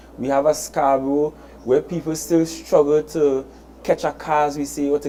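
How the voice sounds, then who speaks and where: A voice in a Trinidadian accent moves at a moderate pace over noticeable background noise. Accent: Trinidad and Tobago English. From Tobago. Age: 30s. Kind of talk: public address.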